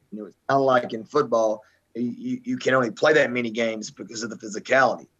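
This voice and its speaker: Talking at a fairly quick pace, a man speaks with a Southern US accent. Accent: Southern American. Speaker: high school basketball coach. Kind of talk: casual sports talk.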